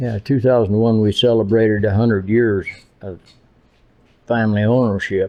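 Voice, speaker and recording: A man with a Great Plains accent talks at a moderate pace. His intonation is monotone and flat, with long, frequent pauses. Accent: rural Great Plains American. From Nebraska Panhandle. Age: 80s+. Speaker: rancher. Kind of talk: casual interview.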